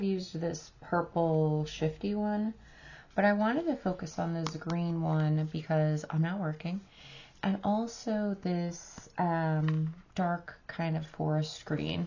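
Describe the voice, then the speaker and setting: A somewhat breathy woman's voice with an American accent, fairly low in pitch, with ordinary pitch variation and a very slow pace. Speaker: beauty vlogger. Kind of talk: makeup review and try-on tutorial. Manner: casual, filler-heavy.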